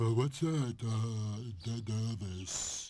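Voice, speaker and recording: Here a man performs a cartoonish character voice. His pitch is medium. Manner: halting, confused.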